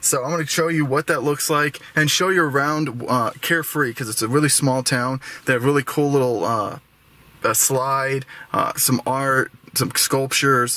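A man speaks at a moderate pace with fairly even intonation, and the sound is dry with no echo. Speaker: travel vlogger. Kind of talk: casual vlog chat. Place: car. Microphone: phone near.

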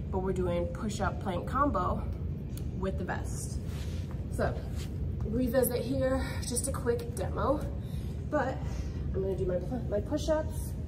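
Over loud background noise, a woman speaks fairly slowly with long, frequent pauses. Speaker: fitness instructor. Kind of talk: tutorial. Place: gym. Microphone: camera far.

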